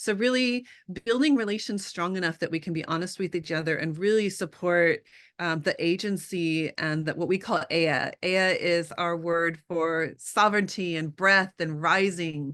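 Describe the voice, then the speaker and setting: A woman with a Californian accent, fairly low in pitch, at a moderate pace. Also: ordinary pitch variation, quiet background. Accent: California twang. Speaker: artist, scholar and activist. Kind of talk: interview conversation. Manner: frequent filler ums.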